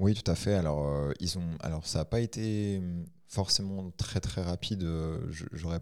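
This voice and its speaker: Speaking at a fairly slow pace, a man has a very deep, low pitch with ordinary pitch variation. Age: 20s. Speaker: gym manager and competitive boxer. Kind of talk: personal testimony. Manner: halting.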